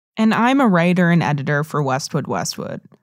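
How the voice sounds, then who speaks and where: A fairly low-pitched woman with an American accent in an ordinary speaking voice, at a moderate pace, on a very clean recording with a silent background. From United States. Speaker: podcast host, writer and editor. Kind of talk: scripted narration.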